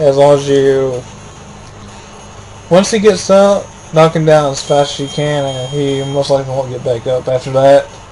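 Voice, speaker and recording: Moderate pace, long and frequent pauses, an animated tone, and noticeable background noise. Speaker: let's play gamer. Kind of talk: gameplay commentary. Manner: casual, animated.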